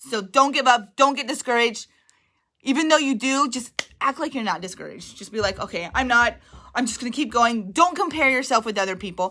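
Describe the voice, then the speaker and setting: A loud, high-pitched woman with lively intonation. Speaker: direct sales team leader. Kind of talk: livestream motivational talk.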